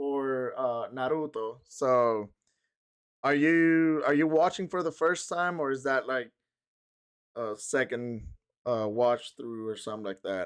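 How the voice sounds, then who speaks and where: His intonation is lively. The man talks with a Spanish accent. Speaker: streamer. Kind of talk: casual live stream chat. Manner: halting, many fillers.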